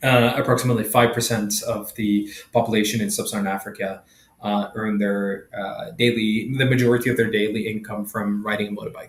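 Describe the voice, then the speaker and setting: A man speaks in a somewhat breathy voice. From Sweden. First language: Swedish. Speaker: entrepreneur, company founder. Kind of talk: interview. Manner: halting, many fillers and repetitions.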